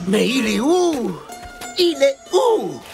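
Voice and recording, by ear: A man's cartoonish character voice, extremely high-pitched and slightly mellow, slow, with vocal fry, big pitch swings, and faint music in the background.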